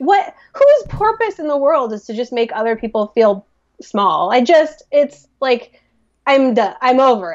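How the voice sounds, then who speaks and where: A fairly slow pace with very wide pitch swings. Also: woman. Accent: American. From US Midwest. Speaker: podcast co-host. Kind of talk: casual chat. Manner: animated.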